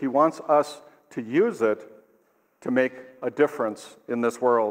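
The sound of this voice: A man with a medium pitch speaks at a fairly slow pace.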